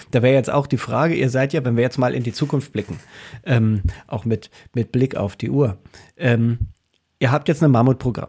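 A man speaks at a moderate pace and medium pitch, somewhat breathy, with a dark, mellow tone. His pitch varies in an ordinary way, and he leaves long, frequent pauses. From eastern Germany. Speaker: podcast co-host. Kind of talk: casual interview.

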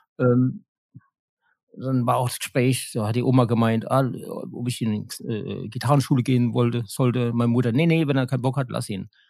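A man speaks in an ordinary speaking voice at a moderate pace. His pitch is medium and his intonation fairly even. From Germany, Mannheim. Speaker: guitarist and sound engineer in a band. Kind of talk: casual interview.

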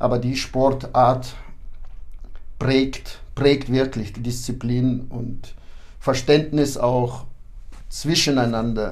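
Audible room echo colors a man's medium-pitched voice, delivered in a monotone, flat intonation. He talks at a very slow pace with long, frequent pauses. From Kyrgyzstan (ethnic German, born in Kazakhstan). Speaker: boxing club official and coach. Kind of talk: interview.

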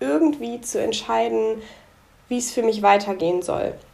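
The speaker is a woman talking at a fairly slow pace. Noticeable background noise runs behind her. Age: 20s. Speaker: young entrepreneur. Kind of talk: podcast interview.

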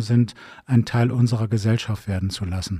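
A man talks at a fairly quick pace, his tone dark and mellow and his voice somewhat breathy. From northern Germany, Bremen. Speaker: district mayor. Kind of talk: interview. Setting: town hall library.

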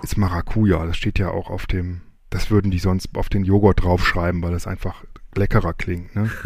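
A man with a fairly low, somewhat breathy voice speaks at a moderate pace. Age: 40s. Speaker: podcaster, quiz contestant. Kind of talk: recorded game-show answers.

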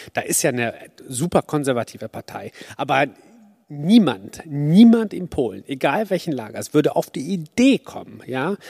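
The recording is very clean, with a silent background and a dry, close sound with no echo. A man with a fairly high pitch and a dark, mellow tone swings his pitch very widely. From Poland. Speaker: audience member. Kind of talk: audience question. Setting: stage with audience.

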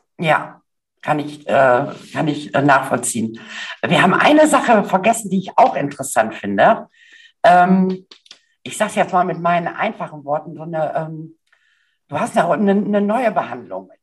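A somewhat breathy woman with a fairly low pitch speaks at a moderate pace, taking long, frequent pauses, her pitch making very wide swings. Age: 50s. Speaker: podcast host and style coach. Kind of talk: interview.

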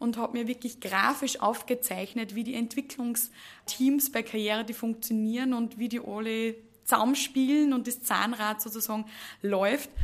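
This woman has an ordinary speaking voice, pitched fairly high. She talks at a fairly slow pace with fairly even intonation. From Upper Austria, Mühlviertel. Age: 20s. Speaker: HR manager. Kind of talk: podcast interview.

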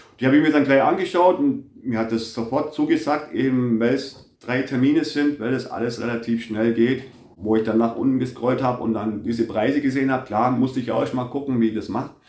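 Over noticeable background noise, the speech moves at a fairly quick pace with hardly any pauses and fairly even intonation. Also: man, medium pitch for a man. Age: 50s. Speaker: factory foreman and dental patient. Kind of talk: interview.

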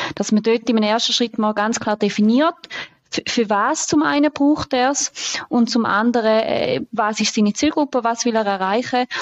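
It is a plain, everyday voice. The pace is moderate, and the pitch varies in an ordinary way. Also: woman. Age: 20s. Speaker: deputy managing director. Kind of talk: podcast interview.

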